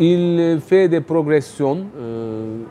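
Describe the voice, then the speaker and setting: A man with a Turkish accent, ordinary pitch variation, noticeable background noise. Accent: non-native French, Turkish. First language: Turkish (speaking French). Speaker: writer and economics youtuber. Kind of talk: interview. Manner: hesitant, many fillers.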